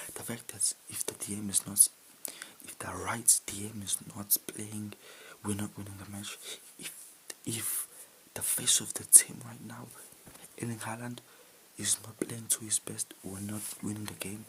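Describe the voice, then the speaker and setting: Whispered speech, fairly slow, broken by long, frequent pauses, under noticeable background noise. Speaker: football fan youtuber. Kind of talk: match reaction vlog. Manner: repetitive, exasperated.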